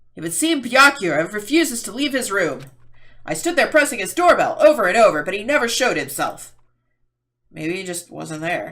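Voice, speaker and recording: This is a put-on character voice with a fairly high pitch. It swings very widely up and down in pitch. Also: moderate pace. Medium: read story.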